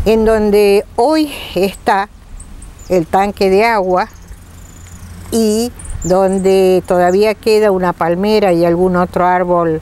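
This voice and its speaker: With very even loudness and fairly even intonation, a woman of medium pitch speaks at a very slow pace, leaving long, frequent pauses, over noticeable background noise. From Argentina, Federación, Entre Ríos. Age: 70s. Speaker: interviewee, local resident. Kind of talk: interview testimony.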